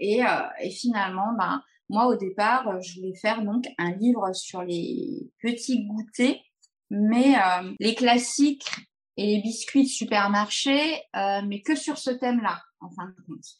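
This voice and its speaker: A woman's fairly high, somewhat breathy voice at a very slow pace, with ordinary pitch variation and big swings in loudness. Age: 40s. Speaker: pastry chef. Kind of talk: casual chat.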